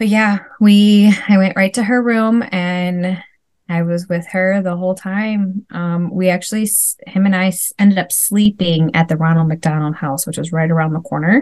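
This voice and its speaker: A woman with a Wisconsin accent talks at a moderate pace in a medium pitch, with ordinary pitch variation. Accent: Wisconsin Midwestern. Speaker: mom and former teacher. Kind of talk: casual interview.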